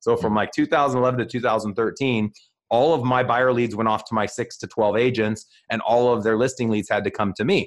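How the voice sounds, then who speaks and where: Against a quiet background, a man speaks at a medium pitch with fairly even intonation. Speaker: real estate team leader and podcast host. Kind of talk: casual interview chat. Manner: fast talker.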